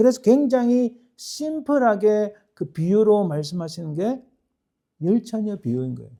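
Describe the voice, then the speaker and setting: With a strong Gyeongsang accent, a man speaks at a high pitch in a dark, mellow tone, his intonation lively. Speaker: pastor. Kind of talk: sermon. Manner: halting, many self-corrections.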